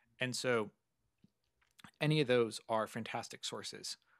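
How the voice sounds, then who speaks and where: A man speaks with a Californian accent and ordinary pitch variation against a quiet background. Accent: Californian American. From Southern California. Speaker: computer science lecturer. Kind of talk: interview conversation. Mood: friendly, engaged. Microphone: studio mic.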